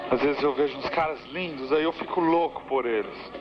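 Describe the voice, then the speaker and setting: Clear background noise accompanies the speaker. He is a man whose intonation stays fairly level. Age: 30s. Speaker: visual artist. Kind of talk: personal audio diary monologue.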